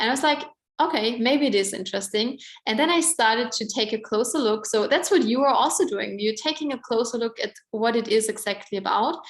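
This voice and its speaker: At a fairly quick pace, a woman with a fairly high pitch talks with ordinary pitch variation. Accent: Austrian. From Austria. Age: 20s. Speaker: network marketing presenter. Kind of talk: sales pitch. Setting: online event. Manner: casual, filler-heavy.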